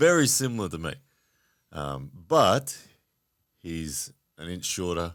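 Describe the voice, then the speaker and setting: A very slow man's voice, very deep and low, with very wide pitch swings and long, frequent pauses, on a very clean recording with a silent background. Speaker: professional arm wrestler. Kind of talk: casual chat.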